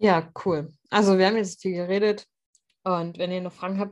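A woman talks in a normal speaking voice at a medium pitch. Her intonation is fairly even, and the background is quiet. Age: 30s. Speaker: podcast host. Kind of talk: casual chat.

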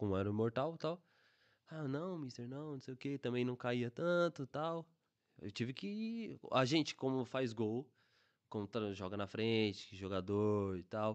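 A man talks at a fairly slow pace in medium pitch, with an ordinary speaking voice. His intonation is lively, and the background is quiet. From Brazil, São Bernardo do Campo (São Paulo). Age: 20s. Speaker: football player. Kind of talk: casual chat.

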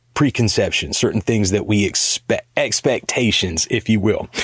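An unremarkable speaking voice from a man in a medium pitch, at a moderate pace, with a dry, close sound and no echo. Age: 40s. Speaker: podcast segment host. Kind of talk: casual chat.

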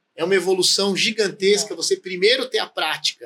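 A man speaks in a raised, projected voice at a fairly quick pace. His pitch is high, with ordinary variation. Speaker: condominium lawyer, co-host. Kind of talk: casual interview chat.

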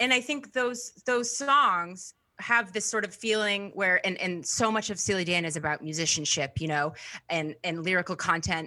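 A woman talks at a moderate pace with lively intonation. Her tone is bright and sharp. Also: medium pitch for a woman, very clean recording, silent background. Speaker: comedian and musician. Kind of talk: casual chat.

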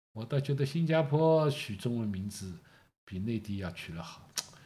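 A man speaks at a moderate pace with a somewhat breathy, dark, mellow tone and very wide pitch swings. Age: 60s. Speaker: host's father. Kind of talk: casual chat.

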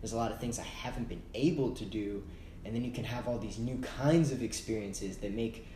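With an American accent, a man talks amid audible room echo. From Texas, Austin. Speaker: podcast co-host. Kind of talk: casual chat.

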